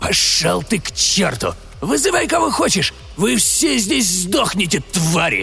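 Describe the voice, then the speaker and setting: A man's put-on character voice at a moderate pace, with hissing and clear background noise. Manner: hissing, defiant.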